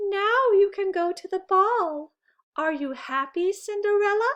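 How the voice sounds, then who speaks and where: Taking on a put-on character voice, a woman sounds squeaky and extremely high-pitched. Her pace is fairly slow. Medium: read story.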